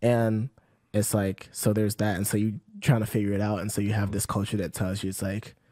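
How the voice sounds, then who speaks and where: This man's voice is fairly low, with a dark, mellow tone. His intonation is monotone and flat. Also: fairly quick pace. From Eswatini. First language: Siswati. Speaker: podcast guest. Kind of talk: casual chat. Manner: halting, many fillers.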